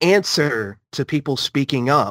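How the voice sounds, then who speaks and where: Speaking with an American accent, a man goes at a fairly slow pace with ordinary pitch variation in a dry, close sound with no echo. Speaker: podcast panelist. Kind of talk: casual group chat.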